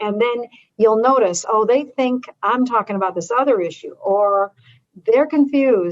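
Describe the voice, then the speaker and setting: With an unremarkable speaking voice, a woman talks at a moderate pace, her pitch fairly high and ordinary in variation. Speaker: advocacy educator. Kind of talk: training webinar.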